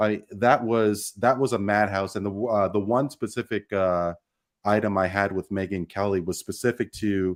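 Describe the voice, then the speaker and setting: At a moderate pace, a man speaks with a Canadian accent on a very clean recording with a silent background. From Canada. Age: 40s. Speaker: sports podcast host. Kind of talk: roundtable discussion. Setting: live stream. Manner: halting, many fillers.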